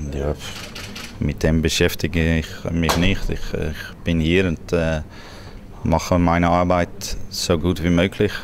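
Over noticeable background noise, a man with a Swiss German accent speaks very slowly at a very deep, low pitch, in a monotone, flat intonation with long, frequent pauses. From Netherlands. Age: 40s. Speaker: football coach. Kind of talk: interview answer.

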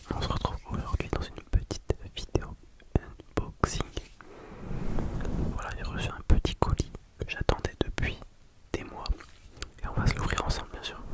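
A man whispers at a moderate pace, pausing long and often. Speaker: ASMR creator. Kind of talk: ASMR unboxing. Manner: whispered. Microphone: studio mic.

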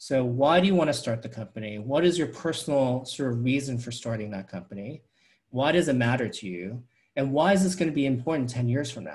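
A somewhat breathy man's voice of medium pitch, fairly quick in pace, with lively intonation and big swings in loudness against a quiet background. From New York City. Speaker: venture capitalist; guest. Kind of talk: fireside chat interview. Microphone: earbuds.

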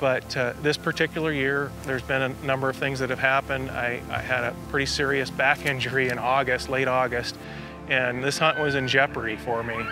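The speech moves at a fairly quick pace with fairly even intonation. Clear music plays in the background, and the sound is dry with no echo. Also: man. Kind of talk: interview answer. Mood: reflective, earnest. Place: open country.

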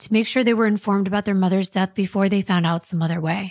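A woman with fairly even intonation, dry sound with no echo and a quiet background. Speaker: true crime podcast host. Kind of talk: true-crime narration, read-aloud case story. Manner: steady, storytelling, measured. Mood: somber, measured. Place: studio. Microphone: studio mic.

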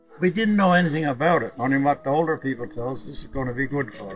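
Clear music plays behind a man talking. He speaks very fast with a Newfoundland accent. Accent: Newfoundland and Labrador. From Labrador, Canada. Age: 80s+. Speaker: boat builder. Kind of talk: interview answer. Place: garden.

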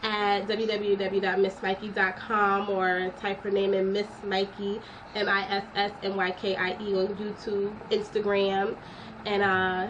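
Over noticeable background noise, a woman speaks at a very slow pace in a monotone, flat delivery. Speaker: vlogger. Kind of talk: casual vlog chat. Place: home room. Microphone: webcam.

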